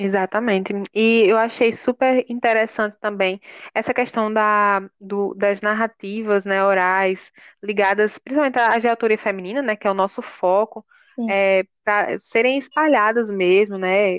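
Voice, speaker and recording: A plain, everyday voice at a fairly slow pace with fairly even intonation, in a dry, close sound with no echo and a quiet background. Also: woman, medium pitch for a woman. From Paraíba, Brazil (João Pessoa). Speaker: podcast host, university project coordinator. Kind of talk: casual podcast conversation.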